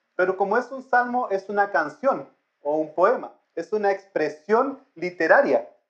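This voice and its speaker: A man is speaking. His intonation is lively. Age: middle-aged. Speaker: lay preacher. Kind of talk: sermon. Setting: church.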